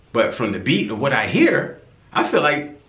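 A man speaks at a moderate pace, with audible echo in the room. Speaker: music reaction creator. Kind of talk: casual reaction commentary. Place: home room.

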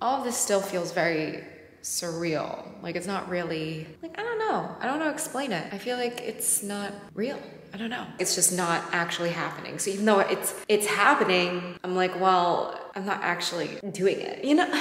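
A woman speaks at a fairly low pitch with big pitch swings. Faint background noise can be heard. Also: moderate pace, few pauses, fairly bright tone.

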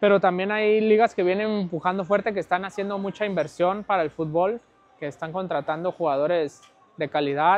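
A man's high-pitched voice at a moderate pace, with fairly even intonation and a dry sound with no echo. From Mexico, Guadalajara; Jalisco, Mexico. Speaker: professional footballer; interview guest. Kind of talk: casual interview. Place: home room. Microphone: lapel.

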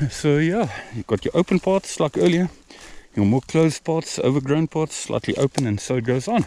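With lively intonation and a moderate pace, a man speaks in a dry sound with no echo over light background noise. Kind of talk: casual vlog commentary. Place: open country. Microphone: phone near.

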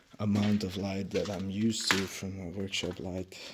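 A man talks at a fairly slow pace, with noticeable background noise behind him. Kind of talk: casual vlog narration while exploring. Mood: quiet, slightly uneasy. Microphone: phone near.

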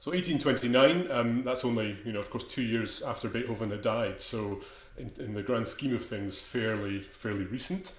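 The voice has ordinary pitch variation, and audible echo from the room can be heard. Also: man, moderate pace. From Scotland. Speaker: conducting teacher. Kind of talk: lecture. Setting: video call. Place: home room.

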